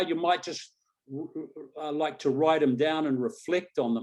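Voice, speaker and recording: Speaking with an Australian accent, a man keeps a moderate pace. His pitch is fairly high. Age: 60s. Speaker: coach and hypnotist. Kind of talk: webinar panel talk. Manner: animated.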